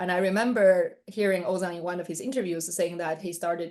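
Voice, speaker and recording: A woman speaks fairly quickly in a Chinese accent. Her pitch is fairly low, and her intonation stays fairly even. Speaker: interviewer. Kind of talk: interview.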